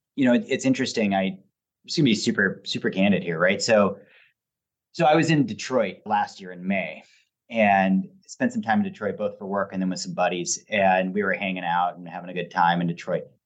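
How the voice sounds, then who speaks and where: A man with a Pacific Northwest accent talks fairly quickly at a fairly low pitch, with ordinary pitch variation and big swings in loudness. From Portland, Oregon. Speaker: former state legislator and recycling nonprofit executive. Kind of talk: interview conversation.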